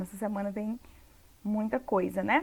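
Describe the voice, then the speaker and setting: In a very clean recording with a silent background, a woman with a fairly high pitch talks at a moderate pace in an unremarkable speaking voice. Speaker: English teacher. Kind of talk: tutorial.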